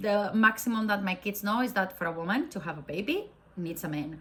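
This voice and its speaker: A woman's bright, sharp voice in a Spanish accent, medium in pitch with ordinary pitch variation. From Spain. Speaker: faith vlogger. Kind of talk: casual talk to camera.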